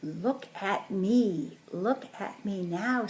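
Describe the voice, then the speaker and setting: Put-on character voice from a woman at a medium pitch. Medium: read story. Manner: exuberant.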